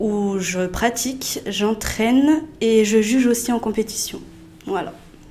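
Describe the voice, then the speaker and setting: A woman is talking. Noticeable background noise is present. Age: 20s. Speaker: rhythmic gymnastics coach and judge. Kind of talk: casual chat.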